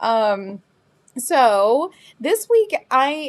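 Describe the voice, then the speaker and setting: Over a silent background in a very clean recording, a woman speaks at a high pitch in a Southern US accent. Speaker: crystal shop owner hosting live sale. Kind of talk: casual live-stream sales chat. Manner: relaxed, chatty with many fillers.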